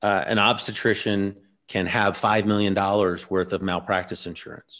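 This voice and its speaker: A man with an American accent speaks at a moderate pace in a fairly low pitch, a plain, everyday voice, against a quiet background. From New Jersey. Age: 40s. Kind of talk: interview.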